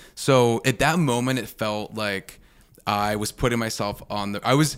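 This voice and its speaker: A man's normal speaking voice at medium pitch with ordinary pitch variation, on a very clean recording with a silent background. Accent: American. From Pittsburgh, US. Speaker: drinks brand founder. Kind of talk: interview conversation.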